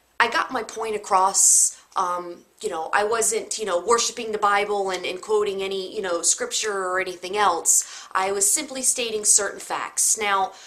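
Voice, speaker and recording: A woman's medium-pitched voice, fairly even in intonation, with hardly any pauses and noticeable background noise. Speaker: video blogger. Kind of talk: personal vlog talk. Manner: slow, hesitant with many fillers.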